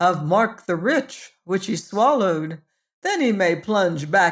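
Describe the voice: Against a quiet background, the words get plain reading aloud with lively intonation.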